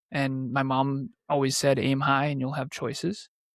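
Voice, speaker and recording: In a very clean recording with a silent background, a man with a fairly high pitch talks at a moderate pace in a normal speaking voice with an American accent. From New England, US. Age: 30s. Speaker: entrepreneur and podcaster. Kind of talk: interview.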